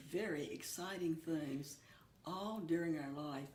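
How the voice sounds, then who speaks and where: Amid audible room echo and noticeable background noise, a woman with a very deep, low pitch speaks at a fairly slow pace. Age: 80s+. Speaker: church member and hymn writer. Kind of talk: interview.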